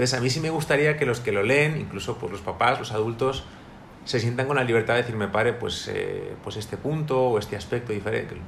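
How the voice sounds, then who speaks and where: Audible room echo surrounds a somewhat breathy man speaking at a fairly quick pace and medium pitch with ordinary pitch variation. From Spain, Madrid. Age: 30s. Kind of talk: interview. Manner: halting, with repetitions.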